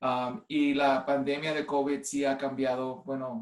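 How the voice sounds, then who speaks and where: A man's fairly high voice at a very slow pace, with ordinary pitch variation. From US (Cleveland, Ohio), Puerto Rican family. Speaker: nurse and clinical informatics executive. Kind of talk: online presentation. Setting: video call from home. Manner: halting, many fillers.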